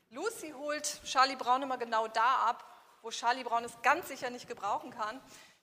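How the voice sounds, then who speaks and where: A woman's raised, projected voice in an animated tone, at a moderate pace with ordinary pitch variation. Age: 40s. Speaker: business coach. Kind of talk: workshop lecture. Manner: interactive, animated.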